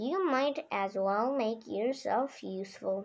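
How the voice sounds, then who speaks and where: A woman uses a put-on character voice, fairly high in pitch with lively intonation. She speaks at a fairly slow pace. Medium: read story. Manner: stern.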